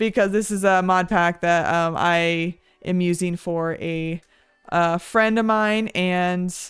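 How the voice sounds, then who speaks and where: A woman talks in an ordinary speaking voice at a medium pitch with ordinary pitch variation. The recording is very clean, with a silent background. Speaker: vtuber gaming tutorial creator. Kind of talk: tutorial. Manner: casual, many filler words.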